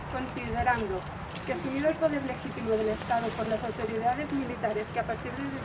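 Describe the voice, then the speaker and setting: Over loud background noise, a woman talks at a fairly quick pace with ordinary pitch variation. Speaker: reader at a memorial ceremony. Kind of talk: formal reading aloud. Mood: solemn. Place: street. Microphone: camera far.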